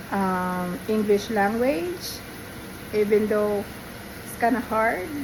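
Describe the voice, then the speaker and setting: A woman with a Visayan accent speaks at a very slow pace, her fairly high pitch moving with ordinary variation. Noticeable background noise and audible room echo surround her. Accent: Filipino (Visayan). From Philippines, Visayas. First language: Bisaya (Cebuano). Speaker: home cook vlogger. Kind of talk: cooking tutorial. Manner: halting, many fillers.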